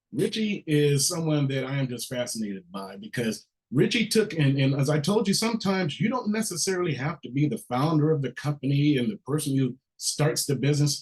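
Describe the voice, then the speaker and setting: A man's fairly high, somewhat breathy voice at a fairly quick pace, with very wide pitch swings. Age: 50s. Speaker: workshop host. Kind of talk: workshop moderation.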